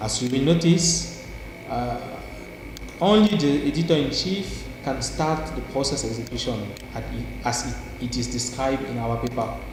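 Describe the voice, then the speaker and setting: A man speaks at a moderate speed, with clear room echo and background noise behind him. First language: not English. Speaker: software researcher. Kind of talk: tutorial. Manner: halting, many repetitions. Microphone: poor audio quality.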